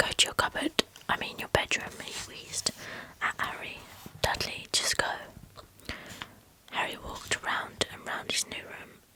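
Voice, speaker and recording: Whispering at a fairly slow pace, a woman leaves long, frequent pauses while her loudness swings widely against noticeable background noise. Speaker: ASMR creator. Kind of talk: audiobook-style reading of a novel for sleep. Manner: whispered, soft.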